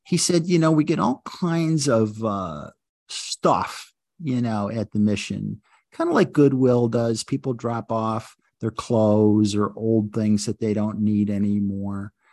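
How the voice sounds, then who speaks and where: In an American accent, a man with a plain, everyday voice talks fairly slowly with lively intonation against a quiet background. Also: medium pitch for a man, dry, close sound with no echo. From US Northeast (Buffalo, New York). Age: 60s. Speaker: lawyer and judicial wellness coordinator. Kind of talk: interview.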